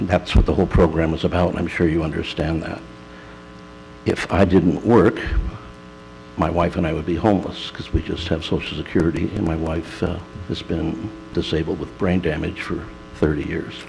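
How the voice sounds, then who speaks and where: A man's very deep, low voice with fairly even intonation, at a moderate pace with long, frequent pauses, against noticeable background noise. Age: 60s. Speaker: in-home care worker making public comment. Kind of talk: public comment at county board meeting.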